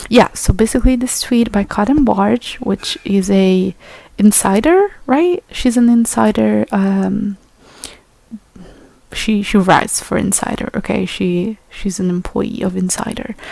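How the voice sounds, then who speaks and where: With noticeable background noise, a woman speaks fairly slowly at a medium pitch, with a non-native accent. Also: ordinary pitch variation. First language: not English. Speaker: YouTuber. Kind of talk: rant. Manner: hesitant, many fillers.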